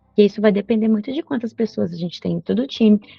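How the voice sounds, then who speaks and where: Background music can be heard. Over it, a woman is talking. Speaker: agile trainer. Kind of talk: online workshop. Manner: fast; animated.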